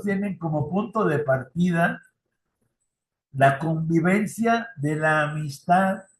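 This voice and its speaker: A man at a fairly high pitch, very slow pace and ordinary pitch variation. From Mexico. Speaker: youth ministry trainer. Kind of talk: lecture. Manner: conversational.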